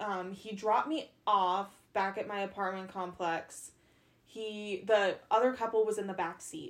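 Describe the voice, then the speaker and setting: A woman speaks fairly slowly in a plain, everyday voice. Her pitch is medium, with ordinary variation. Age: 20s. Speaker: podcast host. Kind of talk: casual chat.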